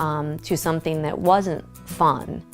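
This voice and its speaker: A woman's very slow speech over music in the background. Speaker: grandchild and caregiver. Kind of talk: interview answer.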